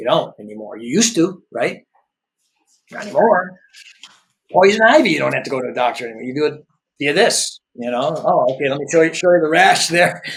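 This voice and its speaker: A man with an American accent talks at a fairly quick pace and fairly high pitch, with very wide pitch swings. His loudness swings greatly, and he takes long, frequent pauses. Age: 60s. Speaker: entrepreneur and business executive. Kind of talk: podcast interview conversation. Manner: conversational, many filler words and restarts.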